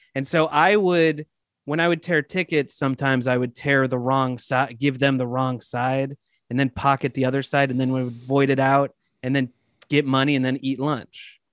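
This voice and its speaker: This man has an unremarkable speaking voice, medium in pitch, with fairly even intonation at a moderate pace. The recording is dry and close, with no echo. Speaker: comedian and actor. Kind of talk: casual chat.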